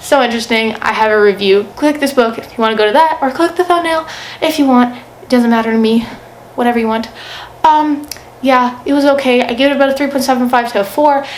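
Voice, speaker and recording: A woman talks at a very fast pace with a high pitch and ordinary pitch variation. Noticeable background noise runs beneath her. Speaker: book video creator. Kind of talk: casual monologue book review.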